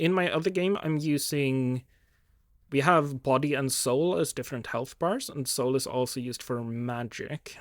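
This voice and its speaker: A man speaks with a fairly high pitch and ordinary pitch variation, recorded very cleanly against a silent background with a dry, close sound and no echo. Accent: Swedish. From Sweden. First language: Swedish. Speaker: game designer vlogger. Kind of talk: casual thinking-aloud video diary. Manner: hesitant, many fillers.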